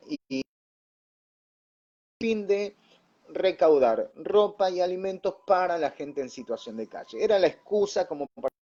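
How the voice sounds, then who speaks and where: A man with a Rioplatense accent, high-pitched yet dark and mellow in tone, fairly slow, with lively intonation. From Buenos Aires suburbs, Argentina. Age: young. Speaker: pastor and radio announcer. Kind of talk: interview answer.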